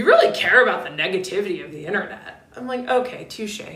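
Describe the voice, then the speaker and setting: A woman's speech carries audible room echo along with noticeable background noise. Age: 30s. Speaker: ADHD coach and livestreamer. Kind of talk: casual livestream chat. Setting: live stream. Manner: chatty, conversational.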